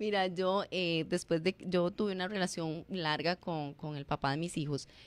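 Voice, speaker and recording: Recorded dry with no echo, a woman of medium pitch speaks at a fairly slow pace. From Costa Rica. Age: 40s. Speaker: former teacher and public personality; former teacher. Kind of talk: radio interview. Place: studio. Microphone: studio mic.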